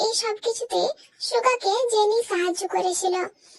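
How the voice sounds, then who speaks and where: This woman puts on a squeaky character voice at an extremely high pitch. She speaks at a fairly slow pace with ordinary pitch variation. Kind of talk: melodramatic fan-fiction narration. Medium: fan dub.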